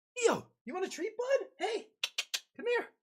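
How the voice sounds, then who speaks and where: The speaker's put-on character voice sits extremely high in pitch and moves along at a moderate pace. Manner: excited, coaxing.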